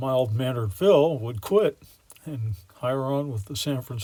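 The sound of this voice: Pitch moves in an ordinary way across an unforced reading voice.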